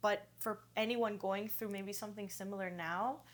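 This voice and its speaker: At a moderate pace, the woman talks in a medium pitch. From Greece, moved to US at 10. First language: Greek. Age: 30s. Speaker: yoga teacher. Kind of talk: podcast interview.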